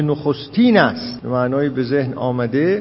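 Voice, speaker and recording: A man speaks with very wide pitch swings. Audible room echo and noticeable background noise fill the recording. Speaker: lecturer on philosophy and hermeneutics. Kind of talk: lecture. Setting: lecture hall with audience.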